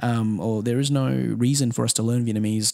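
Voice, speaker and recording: Here a man speaks in a medium pitch with fairly even intonation. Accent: Australian. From Australia. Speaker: music manager. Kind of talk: casual interview.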